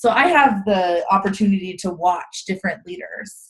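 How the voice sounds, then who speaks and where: With ordinary pitch variation, this voice comes across as somewhat breathy. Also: woman. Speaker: direct sales consultant giving training. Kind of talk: live video training chat. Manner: animated, casual.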